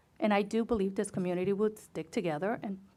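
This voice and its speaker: A woman's medium-pitched voice with a non-native accent, a dark, mellow tone and ordinary pitch variation. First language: not English. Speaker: school board member. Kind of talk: board meeting discussion.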